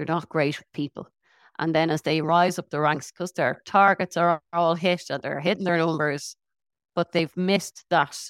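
In a very clean recording with a silent background and a dry, close sound with no echo, a woman with an Irish accent speaks at a fairly low pitch and moderate pace in a monotone, flat intonation. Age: 40s. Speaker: internal communications director. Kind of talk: interview.

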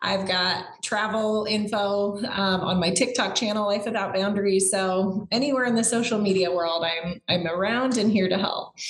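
Medium-pitched speech from a woman with hardly any pauses and very even loudness, over noticeable background noise. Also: fairly even intonation, moderate pace. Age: 40s. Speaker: former nurse turned entrepreneur. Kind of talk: interview. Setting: call.

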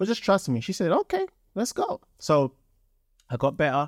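Recorded very cleanly with a silent background, a man with a London accent speaks at a moderate pace and a high pitch. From London, England. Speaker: entrepreneur, former soccer player. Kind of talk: casual interview chat. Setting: studio.

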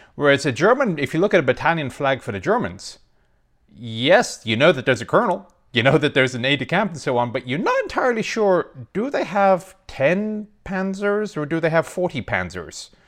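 Speaking at a fairly quick pace, a man with a fairly high pitch shows very wide pitch swings and vocal fry. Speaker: military historian and tank expert. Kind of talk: casual interview. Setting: remote call from Texas. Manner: self-deprecating, laughs often.

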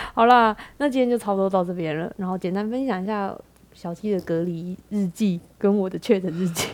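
A woman speaks at medium pitch with ordinary pitch variation and a fairly quick pace. She has a normal speaking voice. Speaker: podcast host. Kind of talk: casual chat.

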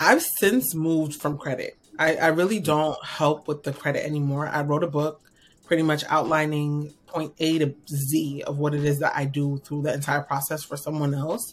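This woman's voice sits very deep and low in pitch, with fairly even intonation. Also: moderate pace. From New York. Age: 30s. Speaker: financial strategist. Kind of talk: interview.

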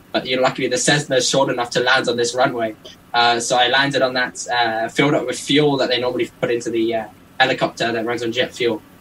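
Hardly pausing at all, a man talks at a fairly quick pace with medium pitch and fairly even intonation amid noticeable background noise. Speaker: record-setting pilot. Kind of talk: interview.

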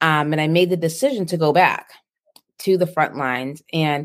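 Here is an ordinary speaking voice in an American accent. The pace is moderate, and the pitch variation is ordinary. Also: woman. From Boston, US. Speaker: nurse entrepreneur and speaker. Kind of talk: interview.

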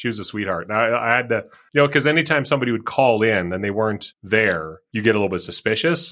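A man talks at a very fast pace with hardly any pauses. His tone is bright and sharp, his intonation lively. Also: medium pitch for a man. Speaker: podcast host. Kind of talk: casual chat.

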